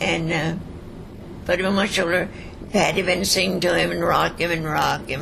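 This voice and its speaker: A woman is speaking with audible room echo. Noticeable background noise runs behind her. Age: 80s+. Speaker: centenarian interviewee. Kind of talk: life story interview.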